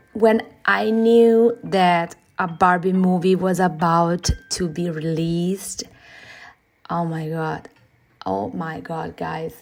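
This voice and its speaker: A woman's fairly low voice with a non-native accent, at a very slow pace with long, frequent pauses and ordinary pitch variation. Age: 40s. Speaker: digital illustrator. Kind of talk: casual vlog talk over speedpaint. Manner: halting, many fillers.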